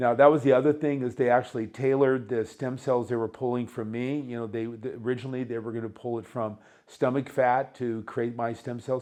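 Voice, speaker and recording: A man speaks at a fairly quick pace in a monotone, flat delivery. His voice sits at medium pitch with a dark, mellow tone. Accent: American. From United States. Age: 60s. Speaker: patient. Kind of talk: testimony. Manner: halting.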